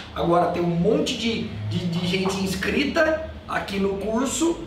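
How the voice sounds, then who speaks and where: A man speaks at a high pitch. Audible room echo and light background noise surround the voice. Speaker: criminal law teacher. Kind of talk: lecture. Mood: agitated, scolding, joking. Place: classroom. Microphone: camera far.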